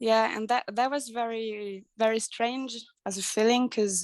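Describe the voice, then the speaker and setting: A woman's fairly high voice in a French accent, fairly slow and with fairly even intonation. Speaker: life coach. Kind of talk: interview. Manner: halting.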